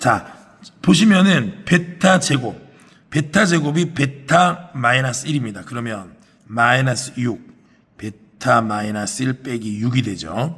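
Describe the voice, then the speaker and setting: Very wide pitch swings at a very slow pace. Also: man, medium pitch for a man. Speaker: math teacher. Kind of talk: lecture.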